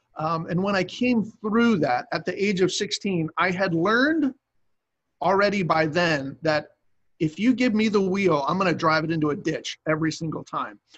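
A high-pitched man with an American accent, moderate pace and ordinary pitch variation. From US Northeast (Cape May, New Jersey). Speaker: youth pastor. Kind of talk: casual interview.

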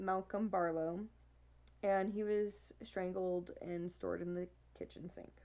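At a moderate pace, a woman with a medium pitch speaks in a dark, mellow tone and fairly even intonation. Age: 20s. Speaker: podcast co-host, bartender. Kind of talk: casual chat about true crime.

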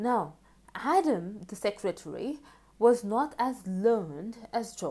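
Someone reads in a voice that sounds natural.

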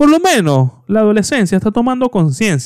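In a dry, close sound with no echo, a man speaks in an animated tone at a moderate pace, his pitch swinging very widely. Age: 20s. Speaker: podcast host. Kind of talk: casual solo podcast monologue.

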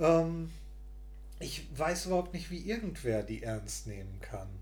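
There is audible room echo in this recording. The speaker is a man. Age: 40s. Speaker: podcast co-host. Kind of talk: casual chat.

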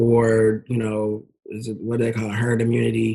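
A somewhat breathy voice with an American accent. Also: man. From Texas, Dallas. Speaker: event promoter and marketer. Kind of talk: casual interview chat.

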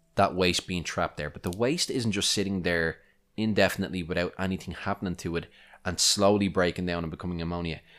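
There is music in the background. The speaker talks with an Irish accent. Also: man. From Ireland. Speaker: podcast host, aquarium hobbyist. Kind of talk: solo podcast tutorial. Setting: home recording. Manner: casual, conversational.

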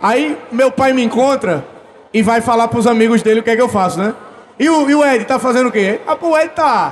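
With very even loudness and noticeable background noise, a man talks at a moderate pace in an extremely high pitch with ordinary pitch variation. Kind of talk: live podcast recording, casual banter. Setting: stage with audience. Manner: jokey.

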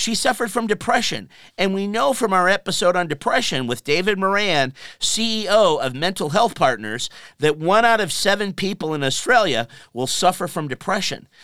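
A man's raised, projected voice, high-pitched, bright and sharp in tone, with lively intonation at a moderate pace. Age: 50s. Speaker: radio talk show host. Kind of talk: radio interview. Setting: radio studio.

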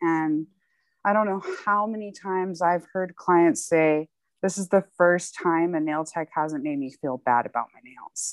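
Heard in a dry, close sound with no echo, a plain, everyday voice shows ordinary pitch variation and big swings in loudness. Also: woman, fairly low pitch for a woman, fairly slow pace. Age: 20s. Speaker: nail technician. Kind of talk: casual chat. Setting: outdoors.

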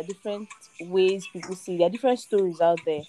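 A woman with a Nigerian accent talks very fast at a medium pitch with ordinary pitch variation. Noticeable background noise is present. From Lagos, Nigeria. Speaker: guest. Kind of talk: casual chat. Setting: remote call.

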